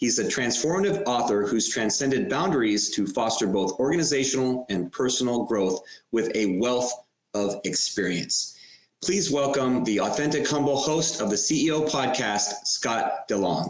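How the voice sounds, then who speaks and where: At a moderate pace, a man with a plain, everyday voice speaks at medium pitch with lively intonation and very even loudness. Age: 50s. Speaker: podcast host. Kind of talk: podcast interview. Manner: scripted reading.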